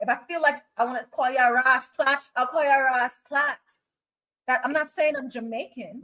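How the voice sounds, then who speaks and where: In an American accent, a raised, projected voice with a bright, sharp tone moves at a moderate pace. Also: woman, high pitch for a woman. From US, Trinidadian parents. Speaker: live stream host. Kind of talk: casual chat. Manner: animated.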